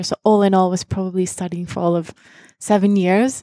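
A woman speaks at a moderate pace and medium pitch, with a dark, mellow tone and monotone, flat intonation. The recording is dry and close, very clean, with a silent background. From Singapore, Dutch family, born in Japan. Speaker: HR talent manager. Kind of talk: casual interview. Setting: office.

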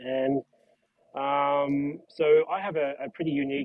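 Speaking at a medium pitch, a man keeps his intonation fairly even. He has an unremarkable speaking voice. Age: 30s. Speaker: podcast guest, hockey fan. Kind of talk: casual chat.

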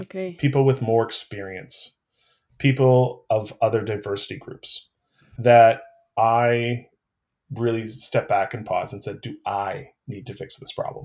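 On a very clean recording with a silent background, a man speaks fairly slowly at a medium pitch, somewhat breathy, with ordinary pitch variation. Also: big swings in loudness. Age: 40s. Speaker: city council candidate. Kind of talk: interview.

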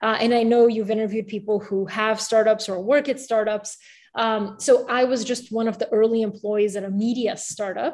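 In an ordinary speaking voice, a woman with an American accent talks at a moderate pace, her pitch fairly high and her intonation fairly even. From Bulgaria, moved to the US at age eight. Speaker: newsletter founder and writer, former reporter. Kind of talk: interview. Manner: casual with many fillers.

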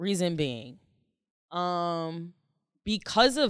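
A woman's unremarkable speaking voice with an American accent, fairly low in pitch, at a fairly slow pace with lively intonation, on a very clean recording with a silent background. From Jamaican heritage, Philadelphia. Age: 20s. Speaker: stylist and model. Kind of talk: casual chat.

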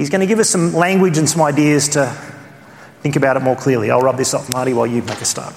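Someone with an Australian accent speaks at a very fast pace with ordinary pitch variation. Noticeable background noise can be heard. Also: man, fairly high pitch for a man. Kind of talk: conference teaching. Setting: church conference.

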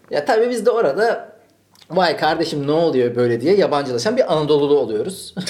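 At a fairly quick pace, a man speaks at a fairly high pitch with very wide pitch swings and very even loudness, with audible room echo. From Turkey, Malatya then Ankara. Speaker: podcast host. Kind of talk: casual chat.

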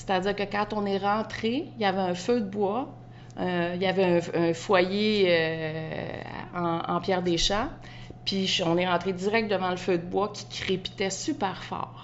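A woman's medium-pitched voice, fairly slow and with fairly even intonation. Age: 50s. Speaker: home stager and interior designer. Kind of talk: casual interview. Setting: outdoors in a backyard.

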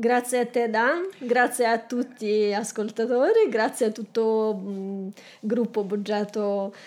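A woman with a Belarusian accent speaks at a very slow pace. Her pitch is fairly high and her intonation fairly even. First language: Russian (speaking Italian). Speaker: aspiring entrepreneur. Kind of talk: coaching session. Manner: halting.

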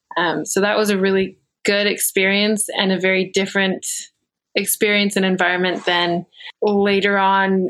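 In an American accent, a woman talks with a medium pitch. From Virginia. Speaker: young adult church leader. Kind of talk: podcast interview.

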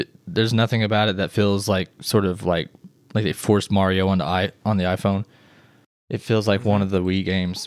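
On a very clean recording with a silent background, a man with an American accent speaks in a normal speaking voice, fairly quickly and at a fairly low pitch, with fairly even intonation and very even loudness. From Missouri. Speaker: web developer. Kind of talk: casual chat.

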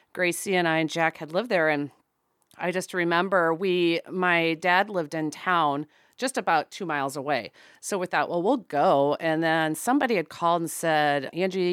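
A woman with a normal speaking voice talks at a moderate pace in a fairly low pitch with ordinary pitch variation. The recording is very clean, dry and close, with no echo and a silent background. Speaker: podcast co-host. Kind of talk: casual interview chat.

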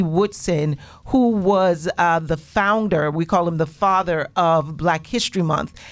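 At a moderate pace, a woman speaks in a plain, everyday voice with ordinary pitch variation. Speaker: radio host. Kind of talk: casual chat. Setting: studio.

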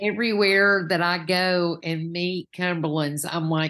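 A woman speaks very slowly with a Southern US accent. Her pitch is medium and her intonation fairly even. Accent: Southern US, noticeable. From Knoxville, Tennessee. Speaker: minister candidate, Sunday school teacher. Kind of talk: casual interview about faith journey.

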